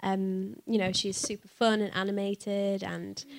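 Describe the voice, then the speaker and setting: With a Yorkshire accent, a woman speaks at a medium pitch in a bright, sharp tone. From northern England. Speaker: voice actress. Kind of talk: live panel Q&A. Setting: stage with audience.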